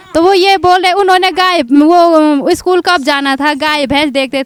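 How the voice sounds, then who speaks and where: The woman's high voice shows ordinary pitch variation amid noticeable background noise. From Uttarakhand. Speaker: interpreter.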